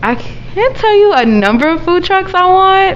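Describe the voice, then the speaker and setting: At a fairly slow pace, the voice carries audible room echo and noticeable background noise. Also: woman. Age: 20s. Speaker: chef and caterer. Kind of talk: interview. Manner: hesitant, many fillers.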